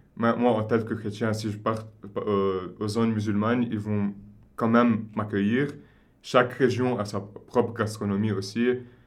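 A man talks at a fairly slow pace with fairly low pitch and a flat, monotone delivery. Room echo is audible. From Lebanon, Beirut. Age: 20s. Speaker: consultant. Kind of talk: interview.

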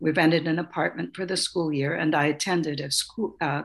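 On a very clean recording with a silent background, a woman with an American accent speaks at a moderate pace in a very deep, low pitch, her intonation fairly even. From US Pacific Northwest, Salish Sea island. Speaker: author and artist. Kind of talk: interview.

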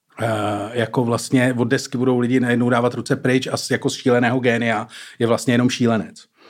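At a fairly quick pace and a medium pitch, a man talks in a flat monotone on a very clean recording with a silent background. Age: middle-aged. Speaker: journalist, comedian and youtuber. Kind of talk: casual chat. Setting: studio. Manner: fast.

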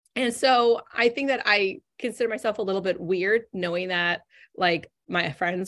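A woman speaks with an American accent in an ordinary speaking voice, her pitch varying in an ordinary way. The recording is very clean, with a silent background. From Northern California. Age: 40s. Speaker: business coach. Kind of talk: interview conversation.

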